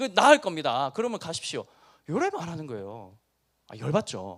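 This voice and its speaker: A very clean recording of a man's speech, with a silent background. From Busan, South Korea. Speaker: pastor. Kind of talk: sermon to high school students. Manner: animated, acts out dialogue.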